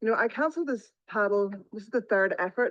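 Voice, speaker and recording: Against a quiet background, a woman with an Irish accent talks at a fairly quick pace and a fairly high pitch. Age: 50s. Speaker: paddleboarder vlogger. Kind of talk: on-the-spot vlog narration. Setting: outdoors on the sea.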